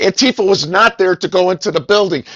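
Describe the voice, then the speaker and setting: Speaking at a fairly quick pace, a man sounds animated, his high voice showing ordinary pitch variation. The sound is dry and close with no echo. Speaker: radio host. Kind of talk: heated debate. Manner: fast.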